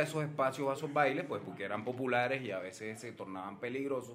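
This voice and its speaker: The pace here is fairly quick. It is a normal speaking voice, and the pitch varies in an ordinary way. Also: man. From Colombian Caribbean coast, Cartagena. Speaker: advertising professor and researcher. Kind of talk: casual chat.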